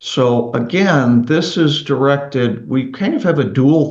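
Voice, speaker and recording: There is audible room echo around a man speaking at a fairly slow pace. His medium pitch shows ordinary variation. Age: 60s. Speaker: roofing company CEO. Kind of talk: interview podcast.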